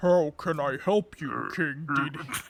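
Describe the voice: Fairly slow delivery in a man's put-on character voice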